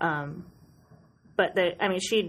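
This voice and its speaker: Fairly slow speech from a woman with an American accent. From Western New York, US. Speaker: book blogger and podcast co-host. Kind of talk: casual chat. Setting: studio. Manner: distinctive laugh.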